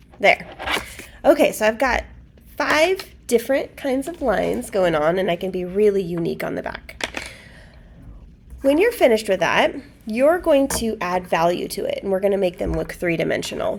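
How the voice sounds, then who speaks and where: Over noticeable background noise, a woman with a fairly high pitch swings very widely in pitch and leaves long, frequent pauses. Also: moderate pace. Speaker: art teacher. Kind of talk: tutorial. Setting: recorded lesson for students while teacher is absent.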